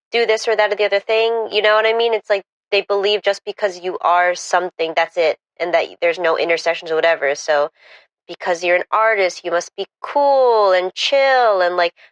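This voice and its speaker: A woman talks with a New Jersey accent. The sound is dry and close with no echo. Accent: New Jersey American English. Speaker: artist. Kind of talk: podcast interview answer.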